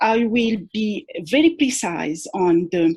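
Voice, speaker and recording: Very wide pitch swings mark a somewhat breathy voice. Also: woman. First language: not English (English is third language). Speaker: academic researcher, conference panelist. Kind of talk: academic conference presentation. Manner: halting, many fillers and repetitions; formal.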